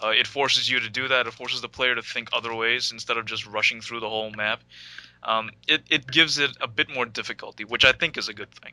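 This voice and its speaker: Very fast and flat in intonation, a man talks with an American accent at a medium pitch. The sound is dry and close, with no echo. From New York City. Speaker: podcast co-host. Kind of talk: casual chat.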